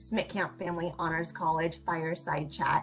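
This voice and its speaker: Music plays in the background behind a woman's voice. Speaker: interview host. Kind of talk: interview host introduction.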